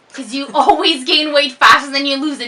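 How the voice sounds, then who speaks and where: Over noticeable background noise, a woman with a slight French Canadian accent speaks in a raised, projected voice at a high pitch. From Quebec. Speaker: fitness vlogger. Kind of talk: casual chat. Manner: slurs words sometimes.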